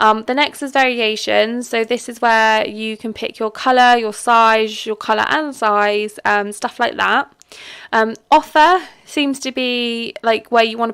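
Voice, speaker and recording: A woman speaks at a fairly high pitch and a moderate pace. The recording is very clean, with a silent background. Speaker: online seller. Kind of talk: casual tutorial talk to camera. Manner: hesitant, rambling, with fillers.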